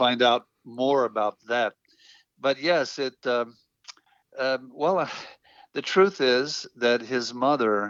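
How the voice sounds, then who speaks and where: A man speaks very slowly at a medium pitch, with ordinary pitch variation. His speech has long, frequent pauses. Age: 70s. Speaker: filmmaker. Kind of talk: interview.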